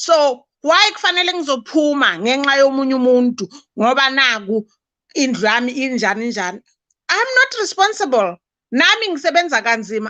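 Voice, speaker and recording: In a Zulu accent, a woman speaks up in a raised, projected voice that is high-pitched, bright and sharp, swinging very widely in pitch at a moderate pace against a quiet background. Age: 60s. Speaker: guest. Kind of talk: live-stream chat.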